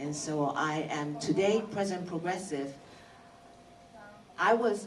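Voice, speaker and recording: With a Japanese accent, a woman talks at a fairly slow pace with lively intonation, over noticeable background noise and audible room echo. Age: 60s. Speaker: motivational speaker at business meeting. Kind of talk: motivational talk.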